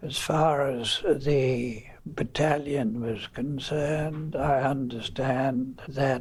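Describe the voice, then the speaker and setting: A man's medium-pitched, monotone, flat delivery at a very slow pace, over noticeable background noise. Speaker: war veteran. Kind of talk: interview answer. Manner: slow, hesitant.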